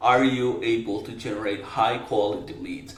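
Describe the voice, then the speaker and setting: Audible room echo surrounds a man with a non-native accent. He speaks at a medium pitch and a moderate pace. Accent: foreign accent, non-native English. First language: not English. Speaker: marketing agency owner, business coach. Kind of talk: talking-head business advice. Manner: casual, direct.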